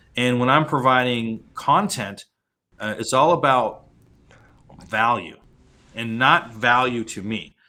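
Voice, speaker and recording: A man with an American accent at medium pitch, very slow in pace, with ordinary pitch variation. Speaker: LinkedIn coach. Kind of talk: interview. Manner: halting, many fillers.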